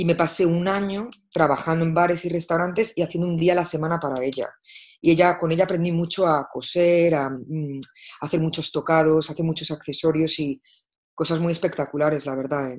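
A plain, everyday voice moves at a fairly quick pace with fairly even intonation. The background is quiet. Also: woman, fairly low pitch for a woman. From Spain, Madrid. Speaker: fashion stylist and creative director. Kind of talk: interview.

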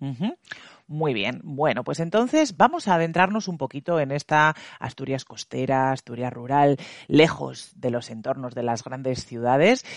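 With an unremarkable speaking voice, a fairly high-pitched man talks at a fairly slow pace against a quiet background, the sound dry and close with no echo. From La Rioja, Spain. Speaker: podcast host. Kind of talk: interview.

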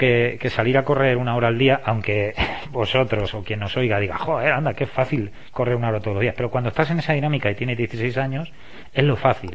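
Noticeable background noise behind a man talking fairly quickly, his pitch medium and its variation ordinary. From Spain, La Mancha (Valdepeñas). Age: 50s. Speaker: sports coach. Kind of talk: interview.

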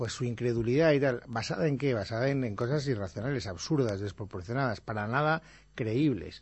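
A somewhat breathy man talks fairly quickly with ordinary pitch variation. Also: medium pitch for a man. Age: 50s. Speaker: radio host. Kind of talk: late-night radio film chat. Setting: radio studio.

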